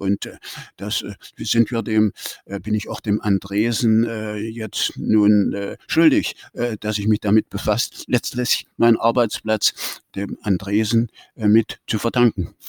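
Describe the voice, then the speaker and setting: Very slow speech with fairly even intonation on a very clean recording with a silent background. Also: man, fairly low pitch for a man. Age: 80s+. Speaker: retired chemist and museum volunteer. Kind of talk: interview.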